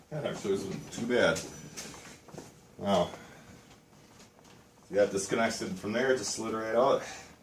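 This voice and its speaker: Amid noticeable background noise and audible room echo, a man speaks at a moderate pace and medium pitch with lively intonation and long, frequent pauses. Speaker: DIY mechanic. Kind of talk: tutorial. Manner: casual.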